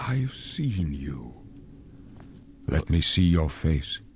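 A man adopts a put-on character voice and talks at a very slow pace. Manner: grave, dramatic.

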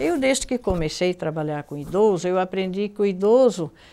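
Her tone is dark and mellow. The woman's intonation is lively. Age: 70s. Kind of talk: interview. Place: studio.

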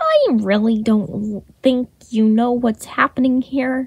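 Woman in a put-on character voice, high-pitched and drawling, fairly slow with fairly even intonation. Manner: lazy, drawling.

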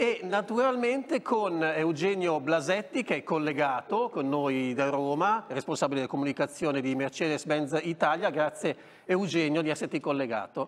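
A man speaks in an ordinary speaking voice, pitched fairly high. His intonation is lively and his pace moderate. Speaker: TV motoring show host. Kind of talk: TV talk show interview. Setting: TV studio. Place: studio. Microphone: lapel.

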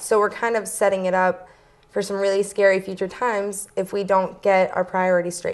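Monotone, flat intonation runs through a woman's medium-pitched voice as she talks at a fairly quick pace. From Windham, Maine (Portland area); Maine. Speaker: student peace activist; guest. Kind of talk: interview. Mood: earnest, concerned. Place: studio. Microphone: lapel.

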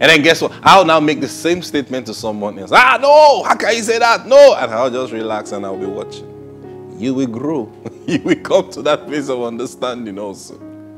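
A man talks at a fairly quick pace, his loudness swinging widely. Clear music plays in the background. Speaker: preacher hosting a broadcast. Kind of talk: sermon-style teaching. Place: studio. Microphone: lapel.

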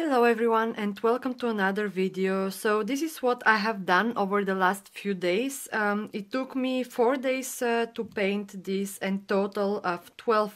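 At a fairly slow pace with hardly any pauses, a woman speaks with a non-native accent in a very clean recording with a silent background. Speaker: painting tutor. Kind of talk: painting tutorial talk to camera. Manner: hesitant, with fillers.

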